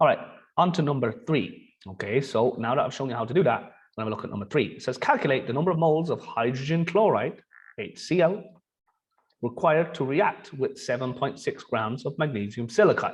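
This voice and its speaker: The man's voice is fairly high and somewhat breathy. He talks fairly quickly with lively intonation. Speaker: chemistry teacher. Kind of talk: tutorial.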